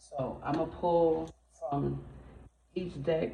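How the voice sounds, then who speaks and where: A quiet woman's voice, very deep and low in pitch, with audible room echo. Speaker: tarot reader. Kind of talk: tarot reading. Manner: trying to speak louder.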